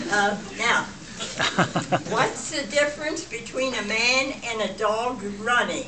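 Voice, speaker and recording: There is noticeable background noise as a woman talks at a fairly high pitch with ordinary pitch variation. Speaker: birthday guest of honor telling jokes. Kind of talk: joke telling to family. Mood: playful, lighthearted. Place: hall. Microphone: camera far.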